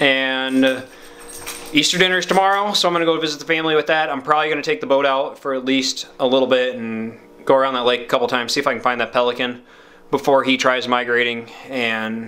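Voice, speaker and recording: Pitch varies in an ordinary way as a man speaks at a very fast pace. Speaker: outdoors vlogger. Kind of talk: casual vlog chat. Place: home room. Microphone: phone near.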